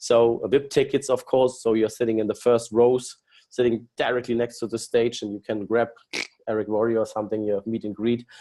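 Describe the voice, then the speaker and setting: A man's medium-pitched voice with a German accent, dark and mellow in tone, flat and monotone, at a fairly quick pace over a quiet background. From Germany. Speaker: company executive presenting business plan. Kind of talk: business webinar presentation. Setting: online webinar. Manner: halting with many fillers.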